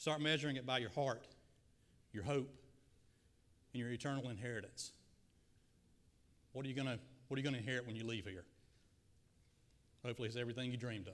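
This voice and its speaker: An energetic man with a Southern accent, medium in pitch, very fast in pace yet with long, frequent pauses, plus audible room echo. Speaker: guest preacher. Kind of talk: sermon. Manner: energetic, addresses audience directly. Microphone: slight echo and feedback from PA.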